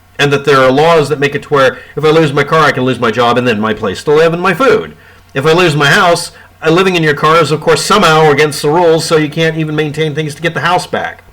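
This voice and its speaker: Here a man talks at a very fast pace in a fairly high pitch. His pitch variation is ordinary, and noticeable background noise is present. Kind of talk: casual talk to camera. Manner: sarcastic.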